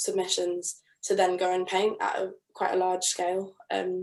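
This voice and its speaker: This woman speaks at a medium pitch with a southern English accent. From southern England. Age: 20s. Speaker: architect in training and artist. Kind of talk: interview. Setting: video call.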